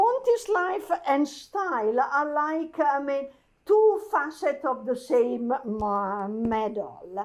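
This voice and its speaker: A woman speaks at a high pitch with an Italian accent. Her pitch swings very widely. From Italy. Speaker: architecture curator. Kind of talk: talk to an audience. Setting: archive event with audience. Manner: halting.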